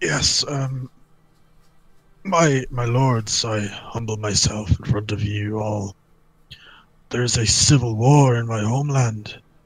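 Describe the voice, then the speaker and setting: Pausing long and often, a man puts on a character voice, keeping a medium pitch and a fairly slow pace. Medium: game stream. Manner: hesitant, stammering, humble.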